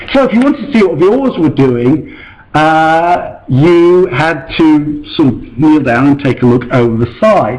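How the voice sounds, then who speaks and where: A man speaks at a fairly slow pace with a fairly high pitch, lively intonation and very even loudness. Room echo can be heard. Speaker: invited lecturer on ancient ship reconstruction. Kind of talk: lecture. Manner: hesitant with many fillers.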